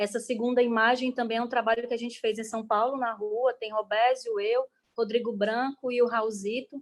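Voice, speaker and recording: With flat, monotone intonation, a woman delivers her words at a fairly high pitch. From Brazil, Ceará (Caucaia, near Fortaleza). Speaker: artist and guest teacher. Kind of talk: online class presentation. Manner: fast.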